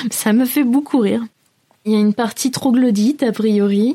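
Dark, mellow tone from a woman, moderate in pace, her intonation fairly even. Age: 30s. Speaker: travel podcast host. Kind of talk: casual solo podcast talk. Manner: hesitant, many fillers.

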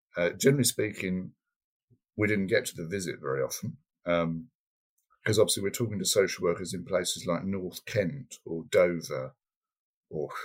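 Vocal fry, lively intonation and a moderate pace, broken by long, frequent pauses. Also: man. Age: 50s. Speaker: adoptive parent.

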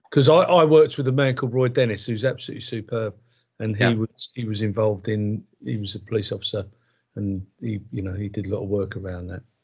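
Over a quiet background, a man talks at a very fast pace in a fairly low, somewhat breathy voice with ordinary pitch variation. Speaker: podcast host. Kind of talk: interview.

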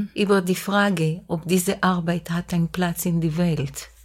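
On a very clean recording with a silent background, a woman with an Israeli accent speaks at a very slow pace and fairly low pitch, her voice somewhat breathy. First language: Hebrew (speaking German). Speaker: composer. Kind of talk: casual chat. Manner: halting.

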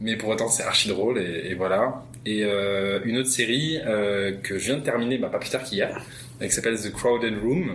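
With noticeable background noise and audible room echo, a man speaks at a moderate pace in a medium pitch with ordinary pitch variation. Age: 20s. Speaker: psychology student, helpline volunteer. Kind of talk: casual interview.

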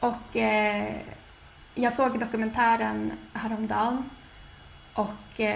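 A woman's voice with audible room echo. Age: 20s. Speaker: podcast co-host. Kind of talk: casual chat.

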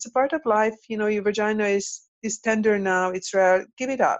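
A woman with a Hungarian accent speaks with ordinary pitch variation. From Hungary. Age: 50s. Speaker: tantra and intimacy coach. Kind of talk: casual interview. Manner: halting, repeats words.

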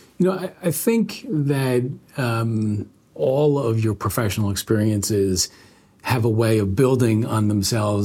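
A man with a New York State accent talks at a fairly slow pace. His medium-pitched voice is somewhat breathy and shows ordinary pitch variation. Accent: American, New York State. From upstate New York, Albany. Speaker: law firm managing partner. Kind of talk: interview conversation.

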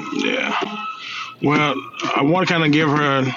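A man speaks over noticeable background noise. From Mississippi, Jackson. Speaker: railroad worker and father. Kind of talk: casual chat.

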